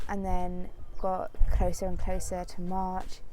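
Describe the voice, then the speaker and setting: A woman speaks in a monotone, flat intonation, with music in the background and audible room echo. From Cornwall, England. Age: 20s. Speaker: university graduate. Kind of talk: interview.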